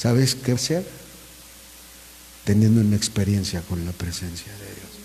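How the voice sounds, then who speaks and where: Amid noticeable background noise and audible room echo, a man with a fairly low pitch talks at a fairly slow pace with ordinary pitch variation. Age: 60s. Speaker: pastor. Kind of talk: sermon.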